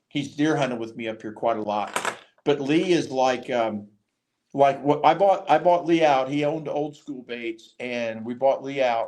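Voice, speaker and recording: A man with an American accent has an unremarkable speaking voice, a fairly high pitch and ordinary pitch variation. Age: 60s. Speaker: fishing podcast host and tackle business owner. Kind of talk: casual chat.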